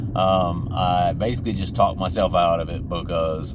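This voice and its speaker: A man with a Georgia accent speaks at a fairly slow pace in a very deep, low pitch and fairly even intonation, amid noticeable background noise and audible room echo. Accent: deep Southern (Georgian). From Georgia, US South. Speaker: YouTuber in addiction recovery. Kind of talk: casual vlog monologue. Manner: casual, many fillers.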